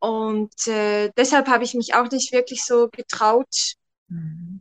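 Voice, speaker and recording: The dry, close sound with no echo captures a woman speaking at a high pitch. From Switzerland. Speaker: photographer. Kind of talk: interview testimony. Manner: hesitant with many fillers.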